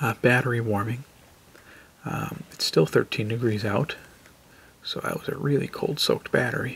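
Soft-spoken and at a moderate pace, a man leaves long, frequent pauses over light background noise. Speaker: car video creator. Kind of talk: casual tutorial. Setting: indoors, next to sleeping kids. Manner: quiet, soft-spoken; hesitant, many fillers. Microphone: phone near.

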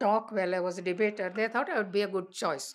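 A woman with an Indian accent and a relaxed, warm tone. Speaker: elder telling life story. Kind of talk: elder life story, reminiscing oral-history narration. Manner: relaxed, conversational storytelling, warm and anecdotal. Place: home room.

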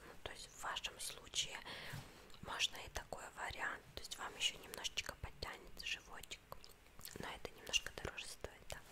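A woman is whispering, with big swings in loudness. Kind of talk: role-play consultation. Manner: soft, close ASMR speaking voice. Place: home room.

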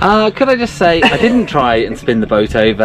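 Noticeable background noise fills the recording. The voice heard is a man's. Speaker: vlogger on a sailing trip. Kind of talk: casual vlog chat. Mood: wry, self-deprecating. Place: boat. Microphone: phone near.

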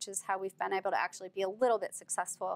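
This woman speaks with an American accent and ordinary pitch variation. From Pennsylvania, Philadelphia; Pennsylvania. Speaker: anti-fracking activist; guest. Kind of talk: interview. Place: studio. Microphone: lapel.

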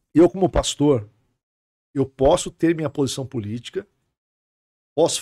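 A man's voice at a moderate pace with lively intonation, very clean and dry, close-miked with no echo over a silent background. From Brazil, Santos. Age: 40s. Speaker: pastor. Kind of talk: podcast interview. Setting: studio.

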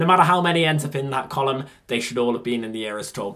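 This man's pitch swings very widely as he speaks. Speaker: youtuber. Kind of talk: casual vlog chat. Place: home room. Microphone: phone near.

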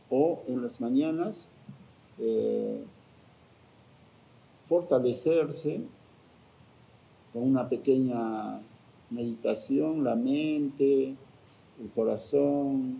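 With long, frequent pauses, a man speaks at a very slow pace and with ordinary pitch variation. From Cusco, Peru. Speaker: spiritual guardian of Machu Picchu. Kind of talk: interview answer. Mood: calm, reflective.

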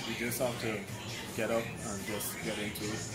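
A man at a moderate pace, with clear music playing behind him. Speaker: personal trainer. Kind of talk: interview answer. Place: street.

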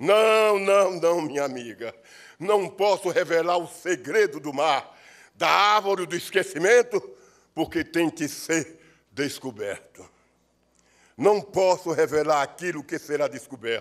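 A man at a very slow pace with a high pitch, ordinary pitch variation, and long, frequent pauses, against a quiet background. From Sergipe, Brazil. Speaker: actor, writer and poet. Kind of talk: performed poem, declaimed with solemn oratorical gravity at an award ceremony. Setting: ceremony in legislative assembly. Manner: solemn, impassioned, rhythmic and incantatory delivery, like a ritual invocation. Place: hall. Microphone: podium.

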